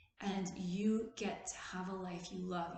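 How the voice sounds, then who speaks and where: A woman speaks at medium pitch with monotone, flat intonation, and audible room echo is present. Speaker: therapist and video host. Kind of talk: casual motivational talk.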